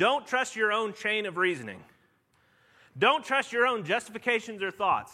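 At a moderate pace, a man speaks in a raised, projected voice with a bright, sharp tone. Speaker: pastor. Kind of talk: sermon. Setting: church. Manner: conversational, with fillers.

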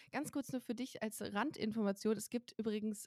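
A woman speaks at a fairly high pitch and sounds somewhat breathy. The sound is dry and close, with no echo. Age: 30s. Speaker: comedy writer and podcast host. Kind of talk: casual chat.

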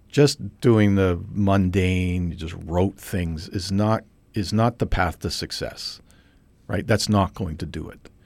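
A man with a very deep, low pitch speaks at a very slow pace, with ordinary pitch variation and big swings in loudness. The recording is very clean, with a silent background. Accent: Canadian. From Canada, British Columbia (Trail, West Kootenays). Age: 50s. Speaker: physicist. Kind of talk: casual interview.

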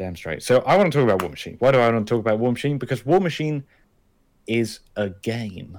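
A man's medium-pitched voice at a very fast pace, with lively intonation. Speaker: podcast co-host. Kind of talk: casual chat. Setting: remote call.

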